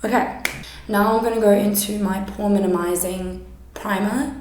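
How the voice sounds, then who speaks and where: Audible room echo, noticeable background noise, and fairly even intonation. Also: woman. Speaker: makeup YouTuber and kindergarten teacher. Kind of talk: makeup tutorial. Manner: loud.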